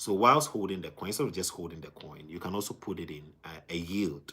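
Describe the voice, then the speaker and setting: His voice is very deep and low, with a bright, sharp tone and ordinary pitch variation as the man speaks. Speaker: crypto livestreamer. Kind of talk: live stream chat. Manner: fast.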